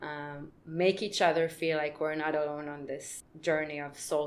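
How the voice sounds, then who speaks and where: Using a very deep, low voice, a woman speaks at a fairly slow pace in monotone, flat intonation with hardly any pauses and big swings in loudness. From Israel. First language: Hebrew. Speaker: podcast co-host. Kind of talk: casual chat.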